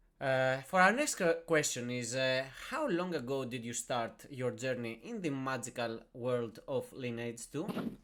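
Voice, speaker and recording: There is noticeable background noise behind the speaker. A man talks at a fairly slow pace with ordinary pitch variation. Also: medium pitch for a man, hardly any pauses. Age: 30s. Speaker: game server podcast host. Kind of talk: podcast interview.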